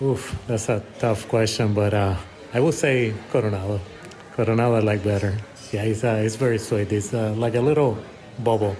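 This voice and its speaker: A man with a Puerto Rican accent speaks at a fairly low pitch and a moderate pace, with fairly even intonation and very even loudness. Noticeable background noise and audible room echo are present. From Puerto Rico. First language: Spanish. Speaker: emergency physician. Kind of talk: casual interview. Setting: coffee shop. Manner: hesitant, many fillers.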